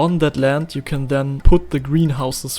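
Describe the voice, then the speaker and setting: Music plays in the background as a man speaks with a German accent at a moderate pace. His pitch is fairly high, and his intonation is fairly even. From Germany. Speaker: indie game developer. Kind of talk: tutorial. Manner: halting.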